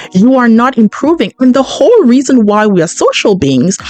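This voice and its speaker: Amid noticeable background noise, a woman with a fairly high pitch talks at a moderate pace in an animated tone, her very wide pitch swings captured in a dry, close sound with no echo. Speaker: podcast host. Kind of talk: podcast monologue. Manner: loud.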